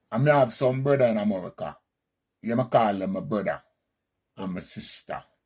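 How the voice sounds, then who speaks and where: A man speaks with a Jamaican accent at a fairly quick pace, with ordinary pitch variation. He leaves long, frequent pauses. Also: medium pitch for a man. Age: 60s. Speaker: Rastafarian commentator. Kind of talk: monologue commentary.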